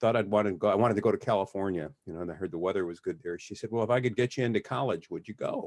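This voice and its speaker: Speech comes at a very fast pace with hardly any pauses. The pitch varies in an ordinary way. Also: man, fairly low pitch for a man. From US Midwest, Detroit, Michigan. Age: 60s. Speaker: criminal defense lawyer. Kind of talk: interview. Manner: halting.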